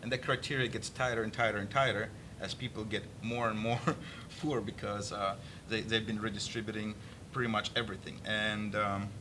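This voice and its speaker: Speaking at a fairly quick pace, a man uses a fairly low pitch with monotone, flat intonation. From Russia. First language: Russian. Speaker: political activist and army veteran. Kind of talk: political interview discussion. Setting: studio. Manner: halting.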